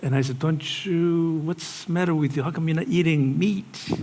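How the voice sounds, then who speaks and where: Somewhat breathy and fairly high-pitched, a man's voice comes through with audible room echo. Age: 60s. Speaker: pastor. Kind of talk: sermon.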